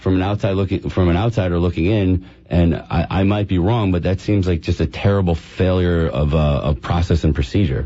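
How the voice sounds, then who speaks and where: Somewhat breathy, a man with very deep, low pitch speaks at a moderate pace with ordinary pitch variation. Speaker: healthcare patient advocate, company representative. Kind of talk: radio talk show guest interview answer. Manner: conversational, hesitant with filler words.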